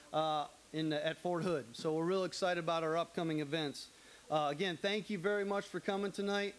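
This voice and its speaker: The man's pitch is high and his intonation fairly even. He talks at a moderate pace. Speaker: association host. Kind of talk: welcome speech. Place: studio. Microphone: handheld.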